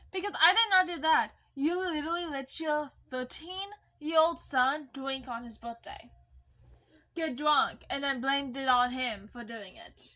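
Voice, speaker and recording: Her voice is raised and projected, high in pitch, with lively intonation. The woman speaks at a fairly slow pace. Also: big swings in loudness. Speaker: vlogger. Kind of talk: casual storytelling vlog. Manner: casual, profane.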